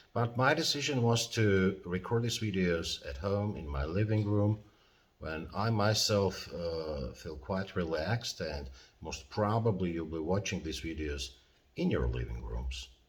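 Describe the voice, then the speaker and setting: A man's very deep, low, somewhat breathy voice with a non-native accent, very wide pitch swings and a fairly slow pace, in audible room echo. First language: not English (English is third language). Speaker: professor. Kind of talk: lecture. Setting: at home in living room. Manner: halting, many fillers.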